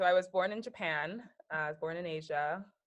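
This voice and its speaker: A woman with an American accent and a plain, everyday voice, fairly low in pitch with ordinary variation, at a fairly quick pace. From US. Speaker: business consultant. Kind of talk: casual chat.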